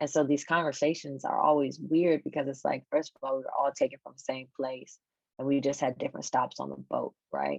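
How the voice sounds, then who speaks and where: A woman with an American accent, fairly quick in pace, in a dry, close sound with no echo. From United States. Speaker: travel author. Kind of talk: conversation.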